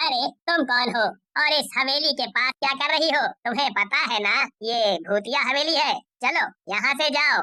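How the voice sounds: A woman's cartoonish character voice, high in pitch, with lively intonation, moderate pace and very even loudness.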